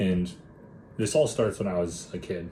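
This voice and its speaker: Heard with audible room echo, a man with an American accent speaks in a very deep, low voice and fairly even intonation. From Minnesota, US Upper Midwest. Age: 20s. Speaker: mindset and body transformation coach. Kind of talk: personal story monologue. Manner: casual, talkative.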